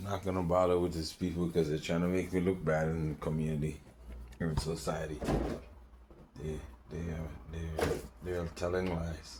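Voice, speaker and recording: In a monotone, flat delivery, a man with a Caribbean accent speaks very deep and low at a moderate pace, with long, frequent pauses and audible room echo. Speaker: vlogger. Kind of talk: casual vlog monologue. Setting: home balcony. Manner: rambling, halting with fillers.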